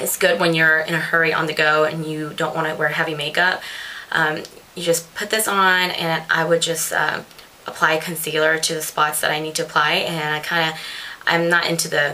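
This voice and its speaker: A woman speaks in a very deep, low pitch with flat, monotone intonation. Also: moderate pace. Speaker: beauty vlogger. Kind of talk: casual product review chat. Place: home room. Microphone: webcam.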